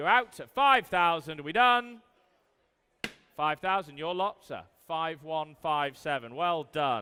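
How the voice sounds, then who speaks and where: A man with an English accent speaks at a very slow pace. His voice is fairly high and has a bright, sharp tone. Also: lively intonation. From England. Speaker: auctioneer. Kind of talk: live auction calling. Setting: live auction room.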